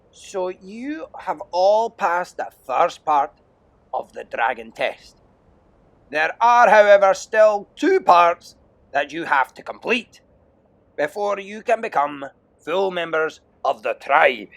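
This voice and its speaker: A man puts on a gruff character voice, high-pitched for a man, speaking at a fairly slow pace with lively intonation, big swings in loudness, and long, frequent pauses. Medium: read story. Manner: loud, scornful, gruff.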